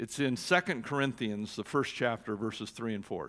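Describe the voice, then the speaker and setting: The recording is very clean, with a silent background. The speaker has an American accent, vocal fry, lively intonation and a moderate pace. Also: man. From Oregon. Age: 60s. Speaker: church executive director and former pastor. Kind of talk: sermon.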